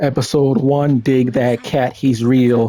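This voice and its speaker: A dark, mellow tone carries over fairly even intonation. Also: man. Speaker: gaming YouTuber. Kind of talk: casual commentary review. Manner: halting, many fillers.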